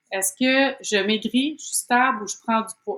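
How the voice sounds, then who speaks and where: Speaking in a Quebec accent, a woman keeps a fairly slow pace. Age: 30s. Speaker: program participant. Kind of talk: interview. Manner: hesitant, many fillers.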